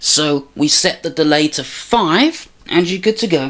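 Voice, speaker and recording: Lively intonation at a fairly slow pace. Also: woman. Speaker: music production tutorial youtuber. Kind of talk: tutorial. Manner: loud.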